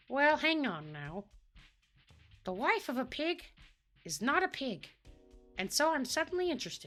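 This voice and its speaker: A female-sounding put-on character voice, high in pitch, at a moderate pace with long, frequent pauses and faint music in the background. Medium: actual play. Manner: folksy, hesitant.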